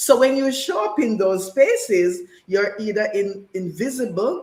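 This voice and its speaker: With ordinary pitch variation, a woman talks fairly slowly in a fairly high pitch. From Jamaica. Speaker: panel guest. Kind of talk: panel discussion.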